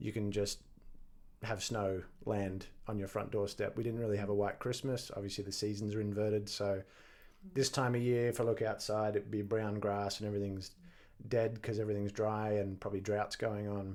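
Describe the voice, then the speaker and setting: In an Australian accent, a man talks at a fairly quick pace in a fairly low pitch, his intonation monotone and flat. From Australia, rural Victoria. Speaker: stuntman and coach. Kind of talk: podcast interview. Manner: casual.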